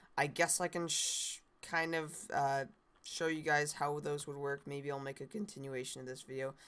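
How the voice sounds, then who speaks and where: The voice belongs to a woman. It sits very deep and low. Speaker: Minecraft content creator. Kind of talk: casual talk to camera. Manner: hesitant, many filler words.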